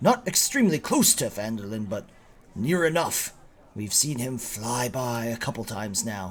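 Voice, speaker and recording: A man puts on a raspy character voice with very wide pitch swings. He talks at a moderate pace. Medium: actual play. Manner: lowered, confiding voice.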